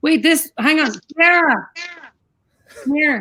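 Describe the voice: Raising and projecting her high voice, a woman speaks very slowly in a bright, sharp tone with ordinary pitch variation.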